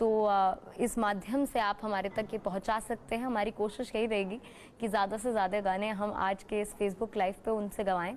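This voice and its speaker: A woman talks at a medium pitch with a flat, monotone delivery. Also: moderate pace, very even loudness. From Uttarakhand, India. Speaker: TV news anchor. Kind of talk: live TV interview. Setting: remote video link on Facebook live.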